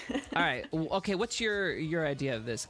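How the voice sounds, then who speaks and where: This man speaks with a high pitch. His voice swings very widely up and down. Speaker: livestreamer and roleplayer. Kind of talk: casual chat. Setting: live stream in VR. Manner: fast, quick back-and-forth.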